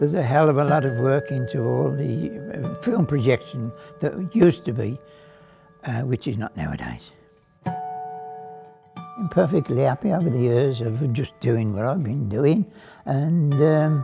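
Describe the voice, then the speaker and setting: A man with a fairly high pitch, lively intonation and a fairly slow pace over music in the background. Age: 80s+. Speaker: cinema projectionist. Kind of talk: interview answer. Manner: casual, conversational.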